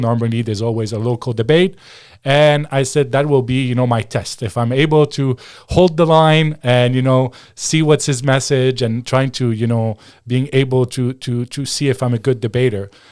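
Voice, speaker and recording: A man at a moderate pace and medium pitch, with fairly even intonation and a French accent, in a very clean recording with a silent background. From Quebec. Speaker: former political advisor and commentator. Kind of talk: interview.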